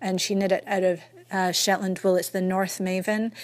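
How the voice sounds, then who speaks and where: A woman speaks in a Scottish accent at a medium pitch. Her intonation is monotone and flat. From Scotland. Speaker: knitting podcaster. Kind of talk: recorded message. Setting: recorded message from New Hampshire, US.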